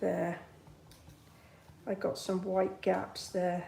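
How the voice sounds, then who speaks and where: Speaking at a fairly slow pace, a woman uses a medium pitch, flat monotone intonation, a dark, mellow tone and vocal fry. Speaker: card-making demonstrator. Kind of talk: live craft tutorial with chat. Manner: casual, chatty.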